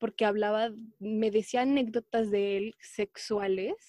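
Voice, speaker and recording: A woman's fairly high voice, fairly slow and fairly even in intonation, in a dry, close sound with no echo. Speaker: podcast co-host. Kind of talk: casual chat.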